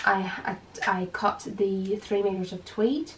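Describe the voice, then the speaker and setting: A woman of medium pitch speaks with an Irish accent over noticeable background noise. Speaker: dressmaker and designer. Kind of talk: casual sewing tutorial to camera.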